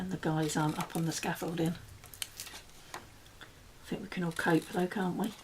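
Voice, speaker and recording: A woman's fairly low, monotone voice with flat intonation over noticeable background noise. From UK. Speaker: crafter. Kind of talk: tutorial. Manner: casual.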